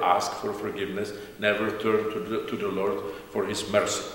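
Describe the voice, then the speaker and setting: Light background noise and audible room echo around a man's moderately paced speech. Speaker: priest. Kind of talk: sermon. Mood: calm, warm, smiling. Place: church. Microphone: camera far.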